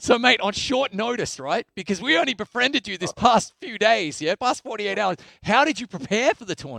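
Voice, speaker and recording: In an Australian accent, a man with a high pitch talks at a fairly quick pace in a raised, projected voice, his intonation lively and his loudness swinging widely, the sound dry and close with no echo. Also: hardly any pauses. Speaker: esports tournament host. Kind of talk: live esports broadcast interview. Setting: studio. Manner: animated.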